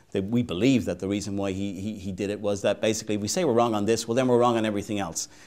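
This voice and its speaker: A man with an Irish accent talks at a very fast pace and a fairly low pitch. The recording is very clean, with a silent background. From Ireland. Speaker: advocacy organization president. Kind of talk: interview.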